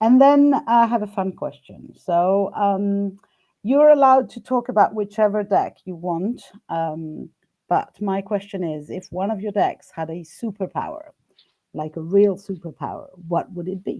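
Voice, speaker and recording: With a non-native accent, a woman speaks in a dark, mellow tone, using lively intonation and big swings in loudness. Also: medium pitch for a woman, fairly slow pace. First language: not English. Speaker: live stream host interviewing a tarot deck creator. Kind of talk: casual live-stream interview. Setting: live video stream. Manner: halting, many fillers and restarts.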